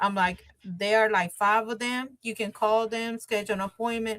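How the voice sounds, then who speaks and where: A woman with a Spanish accent speaks in a fairly high voice. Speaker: bilingual notary and bank worker. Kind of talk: interview. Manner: casual, with filler words.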